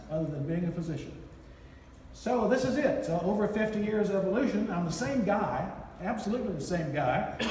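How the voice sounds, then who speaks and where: A man with an American accent talks at a fairly quick pace, his high voice full of lively intonation. Room echo is audible, and background noise is noticeable. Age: 80s+. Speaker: physician. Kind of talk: award acceptance speech. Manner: halting.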